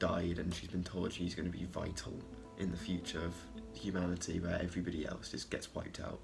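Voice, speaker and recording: At a moderate pace, a man speaks with a very deep, low pitch and vocal fry. Audible room echo surrounds his voice. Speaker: film reviewer. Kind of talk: casual video review monologue.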